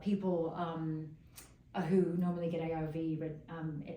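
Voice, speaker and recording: A woman with a very deep, low pitch, audible room echo and noticeable background noise. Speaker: fashion journalist and magazine editor. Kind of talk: casual interview chat. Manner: animated.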